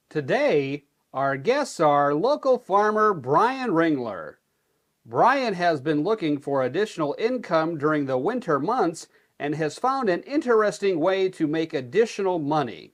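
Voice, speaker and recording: A put-on robotic character voice speaks at a moderate pace over a quiet background. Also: man, high pitch for a man. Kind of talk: parody local TV hosting. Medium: comedy sketch. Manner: wooden, formal, mechanical.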